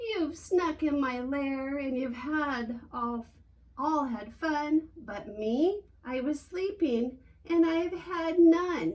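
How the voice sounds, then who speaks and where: Putting on a growling character voice, a woman talks very slowly at a high pitch. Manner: growling, grumbling.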